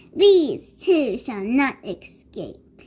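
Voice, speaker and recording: A woman cackles in a put-on character voice at a high pitch. Her pitch swings very widely. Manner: cackling, malicious.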